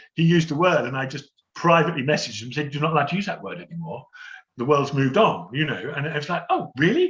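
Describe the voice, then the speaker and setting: Speaking in a southern English accent, a man talks very fast with lively intonation and a fairly high pitch. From London. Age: 60s. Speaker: theatre stage manager. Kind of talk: Q&A session.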